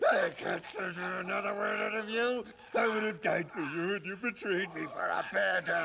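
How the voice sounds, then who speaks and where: Against clear background noise, a man puts on a high-pitched character voice at a moderate pace. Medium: fan dub.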